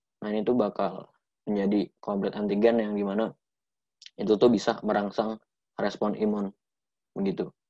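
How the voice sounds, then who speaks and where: A man's fairly low, dark, mellow voice in a flat monotone at a moderate pace, with long, frequent pauses, a dry sound with no echo and a quiet background. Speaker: medical student; presenter. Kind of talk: lecture. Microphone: webcam.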